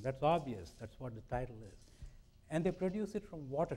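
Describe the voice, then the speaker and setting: Speaking at a fairly quick pace in an Indian accent, a man with a fairly high pitch swings his pitch very widely. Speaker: scientist. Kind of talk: public lecture.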